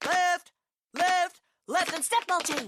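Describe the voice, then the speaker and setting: The voice is pitched extremely high. It is a put-on character voice. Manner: barking.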